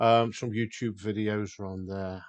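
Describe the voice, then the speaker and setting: Man with a British accent at a fairly slow pace. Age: 60s. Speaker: outdoors vlogger. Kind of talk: casual vlog walkthrough. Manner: hesitant, many fillers.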